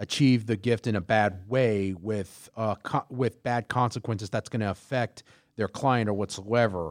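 A man with an American accent, an ordinary speaking voice, medium pitch, ordinary pitch variation and a moderate pace, in a dry, close sound with no echo. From Houston, Texas. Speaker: podcast co-host. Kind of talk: casual chat with read-out research.

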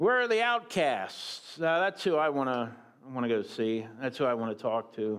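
Over a silent background in a very clean recording, a man with a plain, everyday voice talks at a moderate pace, medium in pitch with lively intonation. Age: 50s. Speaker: guest preacher and school teacher. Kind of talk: sermon.

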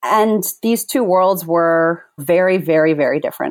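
A woman's normal speaking voice, fairly low in pitch with ordinary variation, at a fairly slow pace in a very clean recording with a silent background. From moved between countries, later US (Virginia). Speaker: facilitator and author. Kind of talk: interview conversation.

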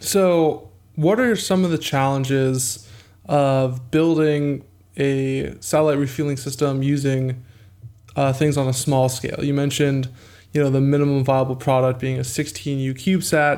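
A man talks at a moderate pace with a fairly high pitch. He has an ordinary speaking voice. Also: fairly even intonation. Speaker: podcast co-host. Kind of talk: interview.

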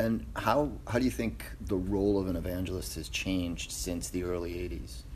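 A man's very deep, low voice in an American accent, with vocal fry, very wide pitch swings, a moderate pace and hardly any pauses. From New Jersey. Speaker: podcast host. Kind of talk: interview. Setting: studio. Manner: halting.

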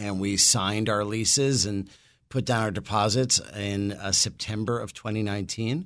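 Using a normal speaking voice, a man with an American accent speaks at a fairly low pitch and fairly slow pace with fairly even intonation. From New York City. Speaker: brewery owner. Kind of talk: casual interview.

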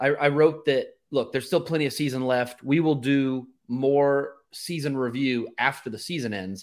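A man with a plain, everyday voice speaks at a medium pitch and a moderate pace, with ordinary pitch variation. The recording is very clean, with a silent background. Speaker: podcast host. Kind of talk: casual sports podcast chat.

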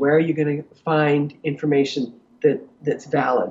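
A woman talks at a moderate pace with a slightly husky edge.

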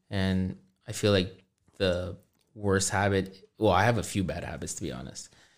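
This man has a very deep, low pitch with vocal fry and ordinary pitch variation, speaking at a moderate pace. His loudness swings widely in a very clean recording with a silent background. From Toronto, Canada. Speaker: friend of the host. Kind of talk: casual chat.

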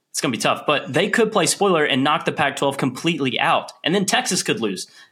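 With an American accent, the words come out at a very fast pace. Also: man. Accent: Southern US, toned down. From Tennessee. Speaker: podcast crew member.

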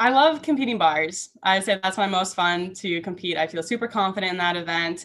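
A normal speaking voice at a moderate pace, full of lively intonation. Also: woman. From Minnesota (Saint Michael). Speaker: college gymnast. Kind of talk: interview.

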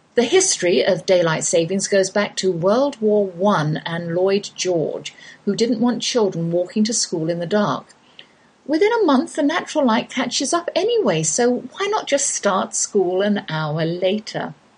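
Very wide pitch swings at a fairly slow pace over noticeable background noise. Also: woman, medium pitch for a woman. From England. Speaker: homeschooling radio host. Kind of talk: radio talk show hosting.

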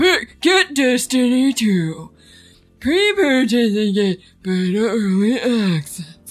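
Faint background music under a put-on character voice, fairly high in pitch and at a fairly slow pace. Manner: hyped, promotional.

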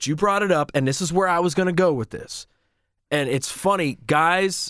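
This man has an unremarkable speaking voice and ordinary pitch variation. He speaks at a moderate pace. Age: 40s. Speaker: radio host. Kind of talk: casual chat. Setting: studio.

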